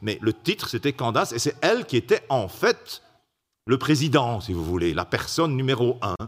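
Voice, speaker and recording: A man speaks at a moderate pace with very wide pitch swings. The recording is very clean, with a silent background. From Belgium. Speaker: preacher. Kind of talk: sermon. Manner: halting.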